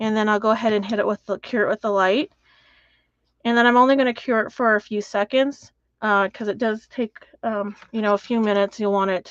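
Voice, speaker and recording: At a fairly quick pace, a woman talks in a fairly high, monotone voice with flat intonation. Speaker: mixed media artist demonstrating techniques. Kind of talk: live craft tutorial. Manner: casual, instructive.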